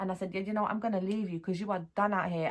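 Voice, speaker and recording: A woman speaks at a medium pitch. Her tone is animated. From South London. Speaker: vlogger. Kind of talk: casual storytelling vlog.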